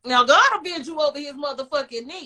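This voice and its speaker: At a fairly quick pace, a woman speaks in a raised, projected voice that is high-pitched for a woman. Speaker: podcast host. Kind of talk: casual chat.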